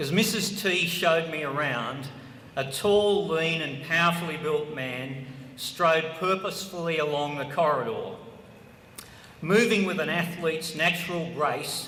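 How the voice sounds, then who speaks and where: A man with an Australian accent at a fairly slow pace, his pitch fairly high with ordinary variation, over noticeable background noise and audible room echo. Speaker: former politician and law professor. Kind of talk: ceremony speech.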